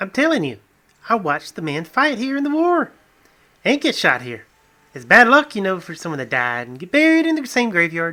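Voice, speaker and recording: Putting on a character voice, a man talks at a fairly quick pace in a high pitch with very wide pitch swings. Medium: read story.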